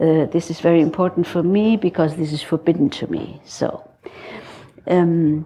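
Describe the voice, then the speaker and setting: Speaking with a German accent, a woman uses a very deep, low pitch and ordinary pitch variation. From Germany. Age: 60s. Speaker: psychotherapist. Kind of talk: lecture. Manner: halting.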